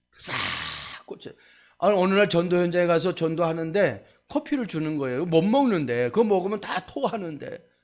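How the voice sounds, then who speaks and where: A man talks at a high pitch and a moderate pace. His intonation is lively. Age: 60s. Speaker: pastor. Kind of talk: sermon. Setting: church.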